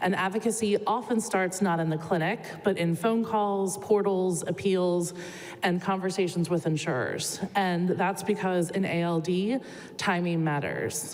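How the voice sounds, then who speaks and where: A woman's medium-pitched voice at a fairly slow pace, with fairly even intonation, very even loudness, and audible room echo. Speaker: clinical social worker. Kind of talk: conference presentation. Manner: many filler words.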